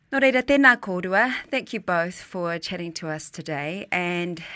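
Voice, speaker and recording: Recorded very cleanly with a silent background, a woman with a medium pitch and a bright, sharp tone speaks with lively intonation at a moderate pace. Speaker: podcast host. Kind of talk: interview hosting.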